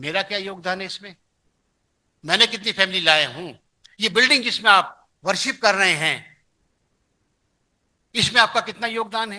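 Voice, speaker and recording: A man uses a raised, projected voice at a high pitch, with a bright, sharp tone and ordinary pitch variation. He leaves long, frequent pauses against a quiet background. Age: 70s. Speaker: pastor. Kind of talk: sermon. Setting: church.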